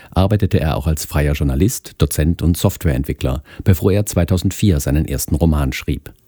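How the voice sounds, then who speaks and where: A man speaks at a moderate pace with vocal fry and a dark, mellow tone. The sound is dry and close, with no echo. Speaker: podcast announcer. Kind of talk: scripted announcement, news-reading style.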